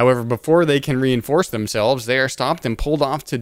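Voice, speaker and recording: In a very clean recording with a silent background, a man with a normal speaking voice talks at medium pitch with ordinary pitch variation. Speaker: podcast host. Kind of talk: casual chat.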